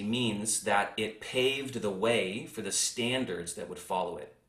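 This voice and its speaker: A man's fairly low voice at a moderate pace, with audible room echo. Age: 40s. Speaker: podcast host, insurance tech co-founder. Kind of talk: interview chat.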